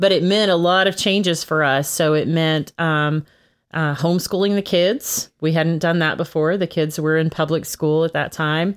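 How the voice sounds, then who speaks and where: A woman's fairly low voice with a Texan accent, moderate pace and very even loudness, on a very clean recording with a silent background. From Texas. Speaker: podcast co-host. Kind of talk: casual chat.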